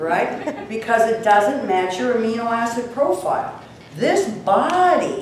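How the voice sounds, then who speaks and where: Amid noticeable background noise and audible room echo, a woman speaks at a fairly slow pace in an animated, fairly high voice with very wide pitch swings. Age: 60s. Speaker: health and nutrition speaker. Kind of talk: seminar talk to a live audience.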